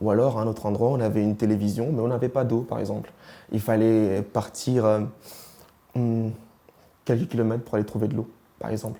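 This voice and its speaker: A man talks at a fairly quick pace with long, frequent pauses, his medium-pitched voice dark and mellow in tone and flat, monotone in intonation. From East and Central Africa. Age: 20s. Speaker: interviewee sharing life story. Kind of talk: interview testimony. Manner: hesitant, with many fillers.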